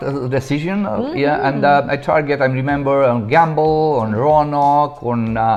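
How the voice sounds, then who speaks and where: Talking at a moderate pace, a man with a strong Romanian accent has a fairly high pitch. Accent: heavy Romanian. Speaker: real estate agent. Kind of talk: interview answer.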